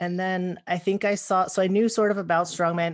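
A woman talking at a fairly quick pace, fairly low in pitch, with fairly even intonation. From Southern California. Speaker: strongwoman athlete. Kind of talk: casual interview.

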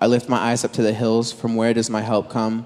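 A very clean recording with a silent background carries a man's plain, everyday voice at a medium pitch and moderate pace, with an American accent. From Southern California. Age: 20s. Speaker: preacher. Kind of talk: sermon.

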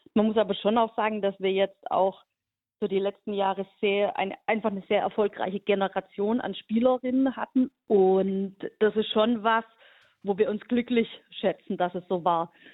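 An ordinary speaking voice moves at a moderate speed, its intonation fairly even. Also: woman, medium pitch for a woman. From Hohenlohe region, Baden-Württemberg, Germany. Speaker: national team coach and teacher. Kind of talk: radio interview.

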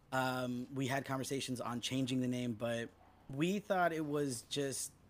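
A man with an ordinary speaking voice and an American accent speaks at a fairly slow pace in a medium pitch. His intonation stays fairly even, and the recording is very clean with a silent background. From Los Angeles. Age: 30s. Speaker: punk musician. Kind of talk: casual chat. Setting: at home.

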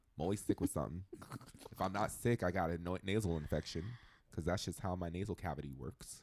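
A man's very deep, low voice at a very fast pace, animated in tone, with vocal fry and ordinary pitch variation. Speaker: podcast guest. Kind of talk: casual chat. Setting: studio. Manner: loud.

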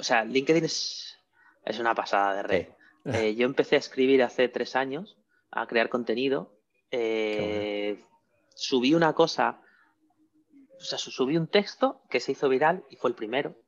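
Over a quiet background, a man with a medium-pitched voice talks at a fairly slow pace with ordinary pitch variation, big swings in loudness and long, frequent pauses. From Spain, León province. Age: 40s. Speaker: entrepreneur. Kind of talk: interview. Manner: halting, with frequent repetitions.

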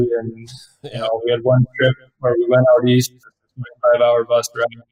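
A somewhat breathy voice with a Canadian accent moves at a moderate pace in a monotone, flat intonation. The sound is dry and close, with no echo. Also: man. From Canada. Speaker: professional hockey player. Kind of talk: interview.

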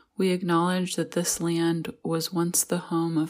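A woman with an American accent speaks at a fairly slow pace in a gentle, calm tone with monotone, flat intonation. The recording is very clean with a silent background. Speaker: pastor. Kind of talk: guided meditation. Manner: calm, slow and soothing; gentle, reflective.

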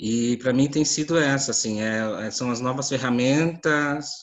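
A man talks in an unremarkable speaking voice at a medium pitch. His pace is fairly slow and his intonation fairly even. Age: 30s. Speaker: visual artist. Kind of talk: panel discussion. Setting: video call.

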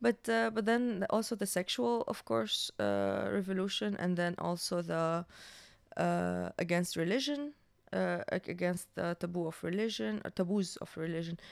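A woman talks at a moderate pace. The recording is very clean, with a silent background. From Syria. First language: Arabic. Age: 20s. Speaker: filmmaker. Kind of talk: casual chat.

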